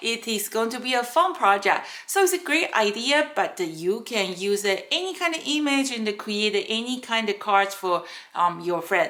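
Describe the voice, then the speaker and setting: A woman with a non-native accent speaks at a moderate pace. Her bright, sharp voice moves in very wide pitch swings. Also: fairly high pitch for a woman. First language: not English. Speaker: rubber stamp maker and craft tutor; craft tutor. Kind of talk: craft tutorial. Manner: halting, many fillers. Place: workshop.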